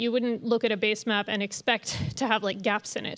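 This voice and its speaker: A woman at a fairly quick pace against a quiet background. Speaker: presenter. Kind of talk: lecture. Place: hall. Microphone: podium.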